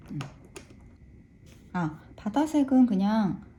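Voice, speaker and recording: A woman speaks in a somewhat breathy, dark, mellow tone. Her intonation is lively and her pace fairly slow. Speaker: watercolor art teacher. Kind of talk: tutorial. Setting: art studio. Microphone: room echo.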